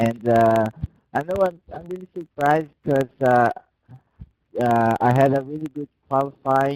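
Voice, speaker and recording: In a Brazilian Portuguese accent, a man at medium pitch speaks at a fairly slow pace, recorded with dry, close sound and no echo. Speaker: sim racing driver. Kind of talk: post-race interview.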